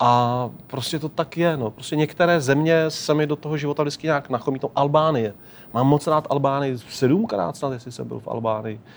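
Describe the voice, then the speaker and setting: At a moderate pace, a man speaks in a plain, everyday voice. His pitch is fairly high, with ordinary variation. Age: 40s. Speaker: traveller and documentary filmmaker. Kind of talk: interview.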